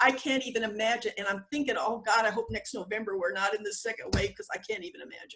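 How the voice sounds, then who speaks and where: Over music in the background, a woman with a fairly high-pitched voice speaks at a very fast pace. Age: 70s. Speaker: clinical social worker and author. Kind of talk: interview.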